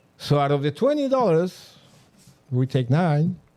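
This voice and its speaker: A man with a Mexican accent, fairly high-pitched, lively in intonation, at a moderate pace. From Mexico. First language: Spanish. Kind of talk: interview answer.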